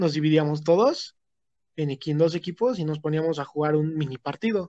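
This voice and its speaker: A man's normal speaking voice, fairly high-pitched, at a moderate pace with fairly even intonation, in a dry, close sound with no echo. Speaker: podcast guest. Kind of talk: casual chat.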